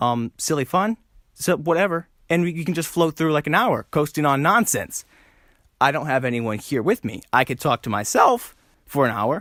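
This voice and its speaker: A man's fairly high voice with lively intonation, dry and close with no echo, on a very clean recording against a silent background. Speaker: comedy podcast host. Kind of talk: solo casual podcast monologue. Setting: alone in a room. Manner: fast.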